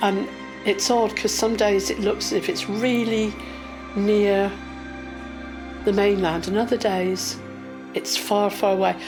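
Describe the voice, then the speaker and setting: Over background music, a woman with a medium pitch speaks in fairly even intonation, leaving long, frequent pauses. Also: fairly slow pace, very even loudness. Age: 60s. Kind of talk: personal interview answer, recounting life experience.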